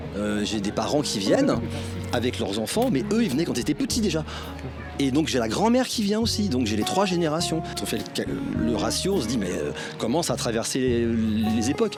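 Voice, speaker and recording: Very wide pitch swings at a moderate pace, over music in the background. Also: man, medium pitch for a man. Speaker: puppeteer. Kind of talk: interview answer.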